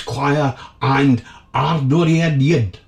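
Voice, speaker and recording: With a Scottish accent and a theatrical tone, a man speaks at a fairly high pitch over noticeable background noise. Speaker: radio host. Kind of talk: community radio DJ patter introducing classical tracks between pieces. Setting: studio. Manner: theatrical, florid and jovial, with flowery phrases and gushing repeated thank-yous.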